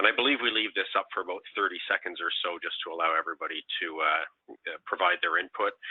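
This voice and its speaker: A man talks at a very fast pace. He speaks with a Canadian accent. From Canada. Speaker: payments industry council chair, webinar presenter. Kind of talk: webinar presentation. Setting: online webinar. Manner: hesitant, many fillers.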